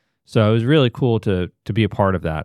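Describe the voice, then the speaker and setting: Recorded very cleanly against a silent background with a dry, close sound and no echo, a man with an ordinary speaking voice and an American accent talks fairly quickly in a fairly low pitch. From Georgia, US South (Atlanta). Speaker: downtown development association executive. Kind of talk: podcast interview.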